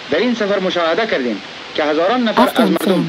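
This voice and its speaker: A man at a very fast pace with very wide pitch swings, over noticeable background noise. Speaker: newsreel narrator. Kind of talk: newsreel narration. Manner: formal. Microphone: old recording.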